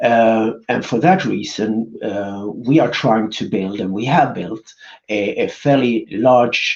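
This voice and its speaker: A man with a Swedish accent. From Sweden. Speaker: business executive. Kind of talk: conference presentation. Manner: halting, many fillers.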